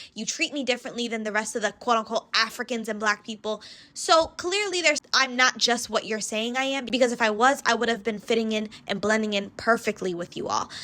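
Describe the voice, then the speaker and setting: The tone is bright and sharp, with ordinary pitch variation. Delivery runs at a fairly quick pace with hardly any pauses. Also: woman, fairly high pitch for a woman. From US, West Indian family. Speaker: commentary vlogger. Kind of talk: reaction commentary.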